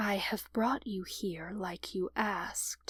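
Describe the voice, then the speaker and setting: A woman uses a put-on character voice. Her pitch is medium and her pace fairly slow. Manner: sneering.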